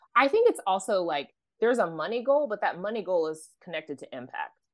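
Against a quiet background, a woman talks at a fairly quick pace with an American accent. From US, Oklahoma. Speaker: financial coach. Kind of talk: podcast interview.

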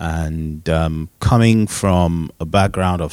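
Very deep and low, a man's voice comes through with fairly even intonation in a dry, close sound with no echo. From Nigeria. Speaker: panelist, parent. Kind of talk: casual panel discussion.

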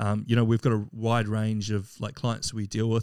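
A man's medium-pitched voice at a fairly quick pace, in a very clean recording with a silent background. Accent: New Zealand. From New Zealand, Wellington. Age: 30s. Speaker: physique athlete and recruiter. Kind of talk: casual chat.

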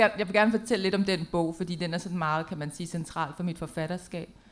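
The woman's voice sits at a fairly low pitch with ordinary pitch variation. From Denmark. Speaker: poet and playwright. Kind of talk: panel presentation. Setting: stage with audience in a tent. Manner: halting, many fillers.

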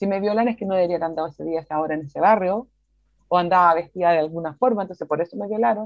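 Talking very fast, a woman keeps a fairly low pitch with ordinary pitch variation. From Chile. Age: 40s. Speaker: NGO director. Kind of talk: interview.

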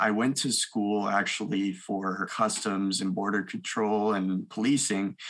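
A man with a Canadian accent and a plain, everyday voice speaks at a fairly low pitch with fairly even intonation. He talks fairly slowly with hardly any pauses. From Canada, Ontario (Milton/Mississauga). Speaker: mortgage broker. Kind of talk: interview podcast.

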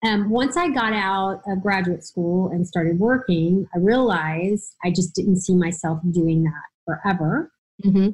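A woman speaks at a moderate pace in a medium pitch, somewhat breathy. Her pitch varies in an ordinary way. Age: 50s. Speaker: OB-GYN physician. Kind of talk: interview.

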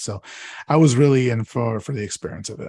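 The speaker moves at a fairly quick pace with ordinary pitch variation. The voice is somewhat breathy over a quiet background. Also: man. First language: Spanish. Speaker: podcast host and guest. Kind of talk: casual chat.

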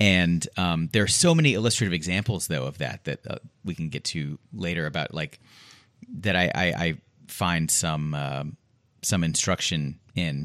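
Vocal fry runs through this American accent at a moderate pace with ordinary pitch variation. The recording is very clean, the background silent. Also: man, very deep, low pitch for a man. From Houston, Texas. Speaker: judge. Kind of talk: casual chat. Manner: animated.

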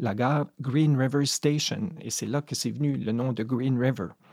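At a moderate pace, a man speaks with a medium pitch and ordinary pitch variation in a dry, close recording with no echo. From Madawaska, northwestern New Brunswick. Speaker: poet. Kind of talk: interview.

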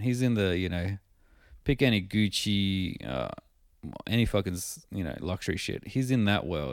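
At a moderate pace, a man talks in an unremarkable speaking voice pitched fairly low. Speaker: podcast host. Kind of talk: casual banter podcast chat. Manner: cynical, deadpan, swears a lot.

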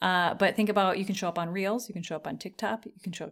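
On a very clean recording with a silent background, a woman has an unremarkable speaking voice. Her pitch is medium and her intonation fairly even. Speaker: podcast host. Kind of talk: casual chat.

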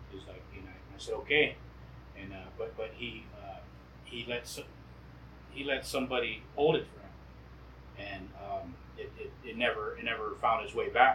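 A man at a moderate pace, with big swings in loudness and long, frequent pauses. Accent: American. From US Southwest, Quechan Nation. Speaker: traditional singer. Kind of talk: casual chat. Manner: halting, many repetitions.

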